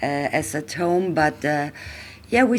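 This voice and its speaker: A woman is speaking. She has a German accent. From Austria. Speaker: traveller. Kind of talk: casual chat. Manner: halting.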